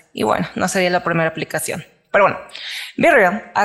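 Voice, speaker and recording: A woman talks in a Mexican accent. Her voice sits at a medium pitch. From Mexico. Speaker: podcast co-host. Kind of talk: casual chat.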